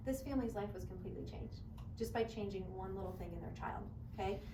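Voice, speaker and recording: A woman talks at a very fast pace over noticeable background noise, with audible room echo. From Kentucky. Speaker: chiropractor. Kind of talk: public talk to audience. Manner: passionate.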